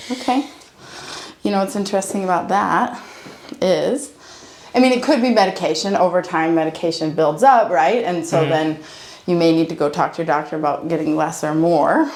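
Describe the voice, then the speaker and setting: A woman speaks in a fairly low pitch with a warm tone. Her intonation is lively, and background noise is noticeable. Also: fairly quick pace. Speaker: chiropractor. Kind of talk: chiropractic ASMR session, casual talk with a patient. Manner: warm, conversational, reassuring.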